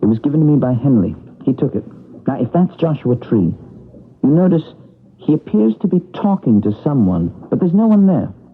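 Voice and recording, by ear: Putting on a character voice with a slightly husky edge, a man speaks at a fairly quick pace with big pitch swings. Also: fairly high pitch for a man.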